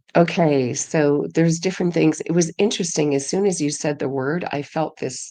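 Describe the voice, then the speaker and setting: Against a quiet background, a woman speaks with a very deep, low pitch, a dark, mellow tone and ordinary pitch variation. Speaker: podcast co-host. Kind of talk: casual chat. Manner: halting.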